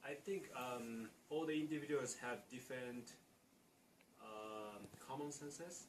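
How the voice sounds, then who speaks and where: A man with a Japanese accent speaks at a fairly slow pace, using medium pitch and ordinary pitch variation. He leaves long, frequent pauses, and audible room echo fills the recording. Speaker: international student. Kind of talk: interview. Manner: halting.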